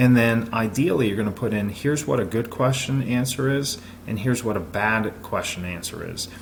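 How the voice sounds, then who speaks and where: Over noticeable background noise and audible room echo, a man talks at a fairly quick pace in a medium pitch. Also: ordinary pitch variation. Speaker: business consultant. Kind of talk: presentation. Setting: recorded video. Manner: fast; energetic.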